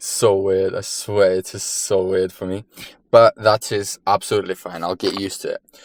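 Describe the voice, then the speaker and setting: The speaker has a non-native accent and monotone, flat intonation. The sound is dry and close, with no echo. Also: man. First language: not English. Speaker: fitness vlogger. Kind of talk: casual vlog.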